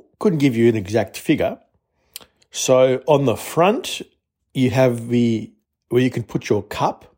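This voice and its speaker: A man speaks at a medium pitch with an Australian accent. His tone is dark and mellow. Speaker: listener contributor. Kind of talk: product demo.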